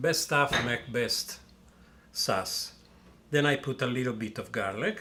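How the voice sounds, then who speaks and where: Using a strong Italian accent, a man talks at a fairly slow pace with long, frequent pauses. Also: medium pitch for a man, ordinary pitch variation. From Italy. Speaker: chef, restaurant owner. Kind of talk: cooking tutorial. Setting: restaurant kitchen. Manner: casual, conversational with fillers.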